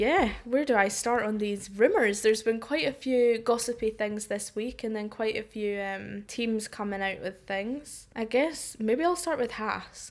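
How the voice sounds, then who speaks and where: An ordinary speaking voice from a woman, fairly high in pitch, with ordinary pitch variation, a fairly slow pace and hardly any pauses. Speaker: podcast co-host. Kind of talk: casual chat.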